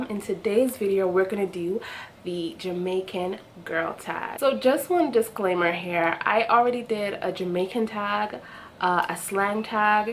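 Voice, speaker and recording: The speaker moves fairly slowly with ordinary pitch variation while noticeable noise fills the background. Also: woman, medium pitch for a woman. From Jamaica. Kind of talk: casual talk to camera.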